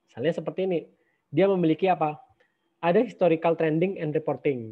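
This man has a plain, everyday voice pitched fairly high. His pitch varies in an ordinary way. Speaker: university lecturer. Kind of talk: lecture. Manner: casual with many fillers.

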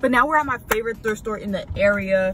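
A woman's voice comes through with noticeable background noise in a dry sound with no echo. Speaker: vlogger. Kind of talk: casual vlog chat. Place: car. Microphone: phone near.

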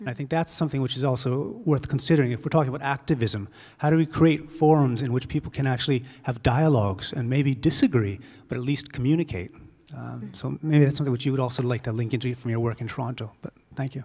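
A man's very fast, somewhat breathy voice of medium pitch, dark and mellow in tone, with ordinary pitch variation over a quiet background. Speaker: audience member. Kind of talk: audience question. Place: hall.

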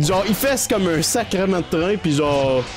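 A man speaks in a high pitch. Clear music plays in the background. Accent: Quebec. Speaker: gaming streamer. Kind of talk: casual let's play commentary. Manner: casual, hesitant. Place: home room.

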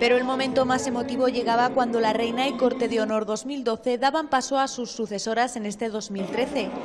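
Against crowd noise in the background, a woman talks at a high pitch in a monotone, flat intonation, at a fairly quick pace with hardly any pauses. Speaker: TV news reporter. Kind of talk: local TV news report voice-over.

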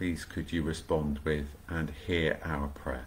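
A man's somewhat breathy voice. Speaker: vicar leading online prayer. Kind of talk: fervent prayer, live-streamed devotional. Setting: home, livestream video. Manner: earnest, warm, devout. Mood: calm, reverent. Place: home room. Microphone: webcam.

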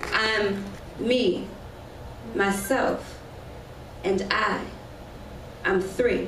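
A woman with a New Orleans accent speaks at a very slow pace. Her medium pitch shows ordinary variation, and there is noticeable background noise. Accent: New Orleans Southern US. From US South, New Orleans; Louisiana. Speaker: spoken word poet. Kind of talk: spoken word performance. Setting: stage with audience. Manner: animated. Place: stage.

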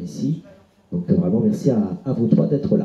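A man speaks at a moderate pace in a dark, mellow tone. There is audible echo in the room. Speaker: event host. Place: shop.

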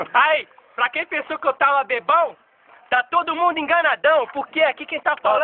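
A man speaks in an extremely high pitch. His intonation stays fairly even at a moderate pace. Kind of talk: casual joking chat to camera. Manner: loose, tipsy bragging speech. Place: street. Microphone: phone near.

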